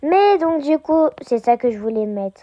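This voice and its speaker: Her voice is high for a woman. The tone is dark and mellow. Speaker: Roblox gaming youtuber. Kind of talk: casual gameplay commentary. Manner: hesitant, many fillers.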